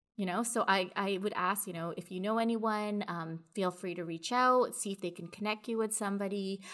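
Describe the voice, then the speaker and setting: A woman with a Canadian accent has a normal speaking voice, medium in pitch with fairly even intonation. She keeps a moderate pace with hardly any pauses. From Canada, Toronto. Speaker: project manager in audiovisual industry. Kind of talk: casual interview. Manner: frequent filler words (um).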